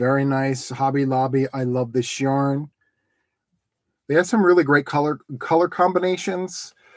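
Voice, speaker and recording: On a very clean recording with a silent background, a man speaks at a moderate pace with long, frequent pauses. His pitch is fairly high, with ordinary variation. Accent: American. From Philadelphia tri-state area, US. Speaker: crochet YouTuber. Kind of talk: livestream unboxing of donations. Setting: solo livestream. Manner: casual, chatty.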